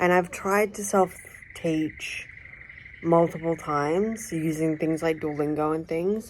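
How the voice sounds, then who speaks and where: A woman's fairly slow speech with an Australian accent and fairly even intonation. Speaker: vlogger. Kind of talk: casual vlog monologue. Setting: outdoors.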